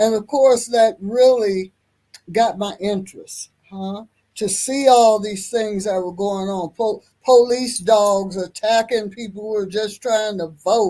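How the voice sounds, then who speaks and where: A woman with an American accent, dark and mellow in tone, fairly high-pitched, very slow, with big swings in loudness. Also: ordinary pitch variation. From US Midwest, Kansas City, Kansas. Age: 70s. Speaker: activist. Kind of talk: interview, life story.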